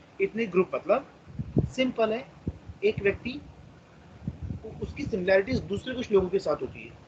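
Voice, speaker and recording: A man with a Marathi accent speaks in a high voice, with ordinary pitch variation. His loudness swings widely, and he leaves long, frequent pauses. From India, Maharashtra (Chandrapur). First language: Marathi (speaking Hindi). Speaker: teacher. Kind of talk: lecture.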